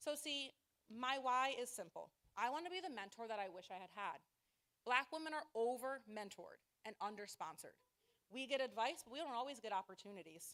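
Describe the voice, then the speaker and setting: Loud and high-pitched, a woman with an American accent talks at a fairly quick pace with lively intonation. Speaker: nonprofit fundraiser. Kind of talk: short stage presentation. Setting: stage with audience. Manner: fast.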